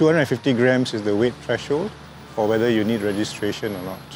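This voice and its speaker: Noticeable background noise sits behind the recording. A man talks at a fairly low pitch. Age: 60s. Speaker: drone hobbyist. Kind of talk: interview. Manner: hesitant with fillers.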